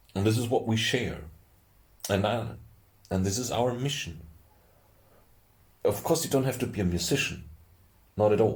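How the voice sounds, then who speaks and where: Pausing long and often, a man with a strong German accent and a medium pitch sounds somewhat breathy amid audible room echo. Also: ordinary pitch variation, moderate pace. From Austria. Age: 30s. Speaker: youtuber. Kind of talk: casual monologue. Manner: halting. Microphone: poor audio quality.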